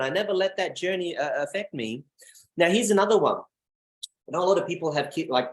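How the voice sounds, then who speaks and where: Very fast and animated, this man talks nonstop. His pitch is high. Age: 30s. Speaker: network marketing presenter. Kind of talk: motivational talk. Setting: video call.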